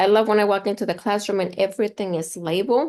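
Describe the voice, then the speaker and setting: Against a quiet background, a woman of medium pitch talks at a fairly quick pace with fairly even intonation. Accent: Spanish. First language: Spanish. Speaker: instructional consultant. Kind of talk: online training session.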